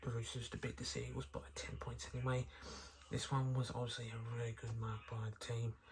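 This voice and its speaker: Ordinary pitch variation at a moderate pace, with noticeable background noise. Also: man. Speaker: sports recap youtuber. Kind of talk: sports recap commentary. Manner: hesitant, many fillers.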